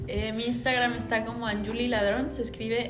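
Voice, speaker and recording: A woman's voice carries audible room echo. Noticeable background noise is present. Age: 30s. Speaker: high-performance athlete. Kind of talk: interview.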